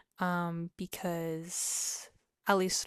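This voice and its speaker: On a very clean recording with a silent background, a woman talks in a relaxed tone with monotone, flat intonation. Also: dry, close sound with no echo. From US, Mexican-American family. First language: Spanish. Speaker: vlogger. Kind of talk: casual chat. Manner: relaxed, many filler words.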